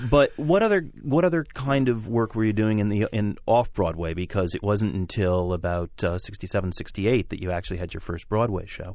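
Using a plain, everyday voice, a man talks at a fairly quick pace with a fairly low pitch, lively intonation, and hardly any pauses. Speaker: radio show host, theater organization director. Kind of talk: interview.

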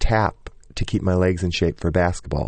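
A man's very deep, low voice with an American accent, fairly even intonation and a moderate pace, against a quiet background. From US Midwest, small-town Michigan. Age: 40s. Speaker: Broadway choreographer and director. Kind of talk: interview.

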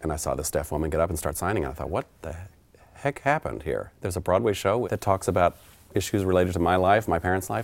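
A man with an American accent, very deep and low in pitch, with vocal fry and lively intonation at a very fast pace, on a very clean recording with a silent background. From Oklahoma. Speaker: theater sign language interpreter. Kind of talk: interview monologue.

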